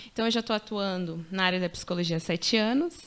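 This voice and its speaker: The background is silent on this very clean recording. A woman speaks at a fairly quick pace. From Paraná, Brazil. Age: 30s. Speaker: mother and social psychologist. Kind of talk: testimony.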